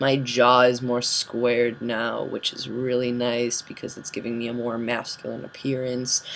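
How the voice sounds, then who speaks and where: Over noticeable background noise, a man speaks at a medium pitch in a monotone, flat way, at a moderate pace with hardly any pauses. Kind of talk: casual vlog update. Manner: hesitant, many fillers.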